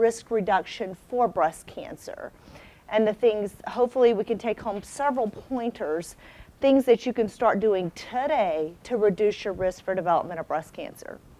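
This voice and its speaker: A woman's fairly high voice moves at a moderate pace. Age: 40s. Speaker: breast surgeon. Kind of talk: health talk to audience. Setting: stage with audience. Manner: loud.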